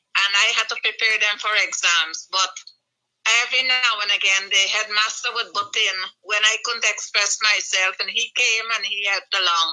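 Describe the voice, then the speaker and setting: At a moderate pace, the woman talks in a fairly high pitch with an unremarkable speaking voice. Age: 60s. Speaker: retired nurse and nurse educator. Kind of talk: interview. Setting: radio studio.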